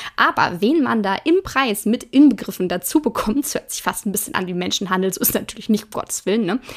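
In a normal speaking voice, a woman talks at a fairly quick pace with a fairly high pitch, lively intonation, and hardly any pauses. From Ruhr area, Germany (Hagen). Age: 20s. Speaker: craft podcaster and product demonstrator. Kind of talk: casual tutorial-style monologue. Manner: chatty, informal, with fillers.

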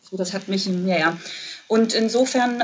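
A woman speaks at a medium pitch. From East Germany (Jena, Thuringia). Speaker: university employee abroad. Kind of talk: casual interview chat. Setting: remote call from her office.

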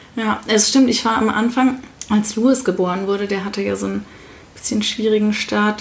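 A woman speaks at a moderate pace with a fairly high pitch, and there is noticeable background noise. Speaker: parenting podcast co-host. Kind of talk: casual chat.

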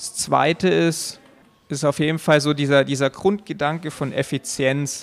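Here is a man with a plain, everyday voice, pitched fairly high. He speaks at a fairly slow pace with fairly even intonation. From Allgäu, Bavaria, Germany. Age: 20s. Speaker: competitive climber. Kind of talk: interview. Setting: climbing gym.

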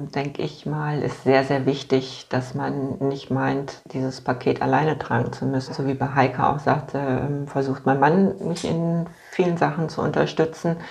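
A woman's very deep, low pitch with fairly even intonation at a fairly slow pace, over noticeable background noise. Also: hardly any pauses. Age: 50s. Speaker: patient with multiple sclerosis. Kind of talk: casual interview. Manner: halting, many fillers.

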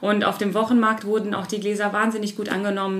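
A woman speaks at a medium pitch. Noticeable background noise and audible room echo come through. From Harz region, Lower Saxony, Germany. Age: 30s. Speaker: hotel and restaurant owner. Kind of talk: interview. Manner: hesitant, many fillers.

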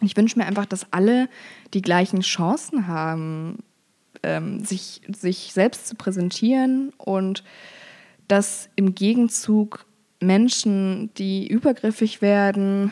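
Speaking at a very slow pace with long, frequent pauses, a woman uses a dark, mellow tone at medium pitch with ordinary pitch variation. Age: 20s. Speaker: social media activist. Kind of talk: interview.

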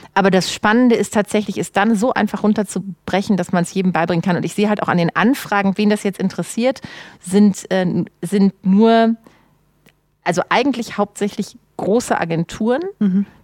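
A woman uses a normal speaking voice at a medium pitch, keeping a moderate pace and fairly even intonation. The sound is dry and close, with no echo. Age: 40s. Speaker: social media consultant. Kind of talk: casual chat.

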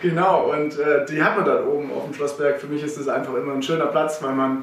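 Over noticeable background noise and audible room echo, a man speaks fairly quickly at a fairly high pitch with fairly even intonation. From Swabia, Germany (Herrenberg area). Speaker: coffee importer, company co-founder. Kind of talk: casual interview. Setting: office.

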